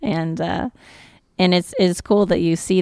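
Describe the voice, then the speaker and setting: A normal speaking voice from a woman, fairly low in pitch with an American accent, ordinary pitch variation, and a dry, close sound with no echo. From northern Nevada (Virginia City). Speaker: singer-songwriter. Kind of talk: interview. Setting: stage with audience.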